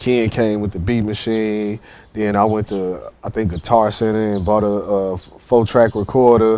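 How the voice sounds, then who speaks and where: A man speaks slowly in a fairly low, dark, mellow voice with monotone, flat intonation. The background is quiet. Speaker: podcast host. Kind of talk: casual interview chat.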